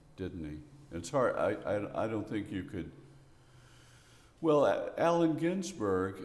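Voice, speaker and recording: In a Memphis accent, a man speaks fairly slowly with a fairly low pitch and very wide pitch swings. Room echo is audible. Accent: Southern US (Memphis). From US South, Memphis, Tennessee. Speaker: poet and retired professor. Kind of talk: interview. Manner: halting.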